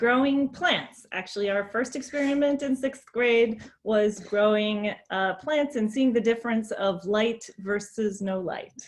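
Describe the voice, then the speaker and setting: With an American accent, a woman speaks in a normal speaking voice at a fairly high pitch. Her pace is fairly slow, with hardly any pauses and ordinary pitch variation. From US, grew up around the country and New York City. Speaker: adjunct professor, keynote speaker. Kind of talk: keynote presentation. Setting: virtual conference.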